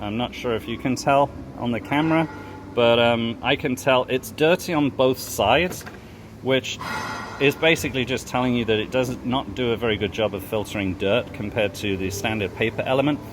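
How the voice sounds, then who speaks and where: Amid noticeable background noise, a man at medium pitch talks at a fairly quick pace with ordinary pitch variation. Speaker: mechanic. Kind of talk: tutorial. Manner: fast.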